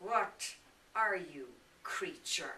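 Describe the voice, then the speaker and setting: A female-sounding voice performs a put-on character voice. Its pitch swings very widely. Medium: stage play. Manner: blunt, scornful.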